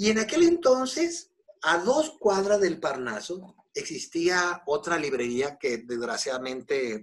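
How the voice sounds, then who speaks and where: Speaking at a very slow pace in a Mexican accent, a man makes very wide pitch swings. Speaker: Buddhism teacher. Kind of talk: interview.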